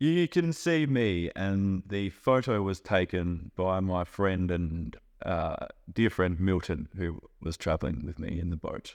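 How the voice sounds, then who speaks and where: This man has a very deep, low pitch and an Australian accent. His pitch moves with ordinary variation. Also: fairly slow pace. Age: 30s. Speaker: chef and traveller. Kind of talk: interview for English learners.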